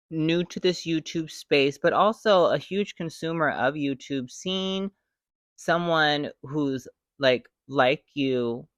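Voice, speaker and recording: A woman speaks at a very slow pace in a very deep, low pitch with ordinary pitch variation, the sound dry and close with no echo against a quiet background. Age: 40s. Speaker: YouTuber. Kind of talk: casual chat. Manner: animated.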